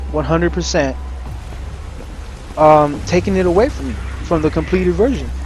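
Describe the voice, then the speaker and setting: Music plays in the background. A man talks amid audible room echo. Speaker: gaming streamer. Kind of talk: gameplay commentary rant. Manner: mumbling.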